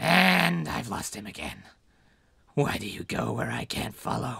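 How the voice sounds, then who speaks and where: A raspy, put-on character voice swings very widely in pitch at a moderate pace. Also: man, very deep, low pitch for a man. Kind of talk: comic abridged parody dub. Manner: sarcastic, goofy, bored.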